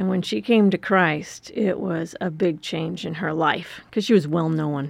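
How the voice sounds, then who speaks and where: Using a normal speaking voice, a woman with an American accent talks at a fairly low pitch and a fairly slow pace with lively intonation. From US Midwest, rural Wisconsin. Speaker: missionary leader. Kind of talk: interview.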